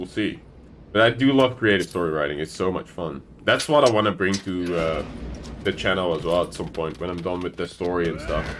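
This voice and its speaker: This man's voice is very deep and low. He talks at a moderate pace with a non-native accent. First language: not English. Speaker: gaming streamer. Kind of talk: casual chat.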